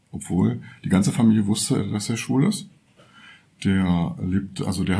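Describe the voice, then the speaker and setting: The man has a fairly low pitch and a dark, mellow tone. His pitch varies in an ordinary way. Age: 60s. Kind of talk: personal testimony. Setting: workshop, recorded lying in a bed.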